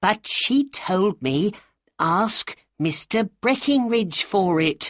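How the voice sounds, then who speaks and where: In a put-on character voice with fairly high pitch, the speaker talks at a very slow pace. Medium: read story. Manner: weak, anxious.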